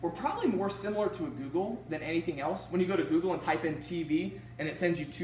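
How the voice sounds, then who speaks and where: With noticeable background noise and audible room echo, a man with a high pitch speaks in an animated tone at a fairly quick pace. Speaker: business presenter. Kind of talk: sales pitch.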